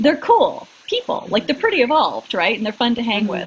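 Fairly high-pitched woman's voice amid noticeable background noise. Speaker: acting career coach and podcaster. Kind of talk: casual comedic chat.

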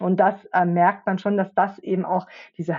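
At a moderate pace, a woman speaks in a somewhat breathy, medium-pitched voice. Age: middle-aged. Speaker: podcast co-host and futures researcher. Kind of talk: casual chat.

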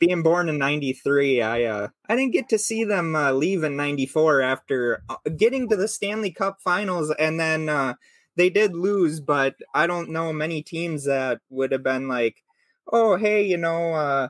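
On a very clean recording with a silent background and a dry, close sound with no echo, a man speaks very slowly in a fairly high pitch with lively intonation. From Minnesota. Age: 30. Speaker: podcast host.

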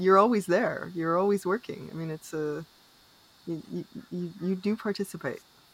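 An ordinary speaking voice from a woman with a Canadian accent, fairly low in pitch, with ordinary pitch variation and a moderate pace. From Canada. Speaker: podcast host. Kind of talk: interview.

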